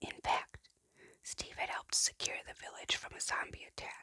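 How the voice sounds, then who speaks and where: The voice is a whisper. It moves at a moderate pace. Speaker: parent. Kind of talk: ASMR book reading. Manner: whispered.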